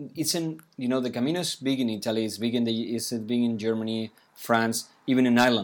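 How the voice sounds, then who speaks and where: A man's medium-pitched voice with a Spanish accent, on a very clean recording with a silent background. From Pamplona, Navarra, Spain. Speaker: podcast host. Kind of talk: casual interview.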